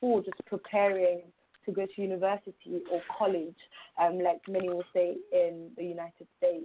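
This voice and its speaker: Speaking at a moderate pace, a woman with a London accent has a medium-pitched voice. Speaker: youth mentor. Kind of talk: interview. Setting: phone call.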